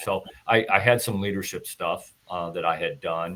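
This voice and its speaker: With a US Midwestern accent, the speaker goes at a moderate pace with ordinary pitch variation. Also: man. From US Midwest, northern Illinois. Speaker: retired army officer and leadership speaker. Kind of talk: interview.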